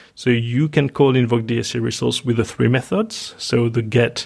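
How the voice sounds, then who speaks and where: A man speaks with a French accent at a medium pitch, a bit breathy. His intonation is fairly even and his pace fairly slow. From France. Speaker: software engineer. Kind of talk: casual interview.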